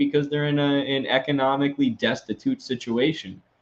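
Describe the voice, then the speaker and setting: A man at medium pitch talks at a moderate pace. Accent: American. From Wisconsin, US Midwest. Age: 20s. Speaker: political commentator, live streamer. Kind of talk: live stream, reading and answering super chats. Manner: casual, many fillers.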